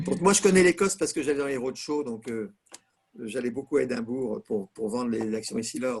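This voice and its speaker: This man talks at a fairly quick pace with a medium pitch. His voice makes very wide pitch swings. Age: 70s. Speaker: retired business executive. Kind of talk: casual chat. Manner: animated.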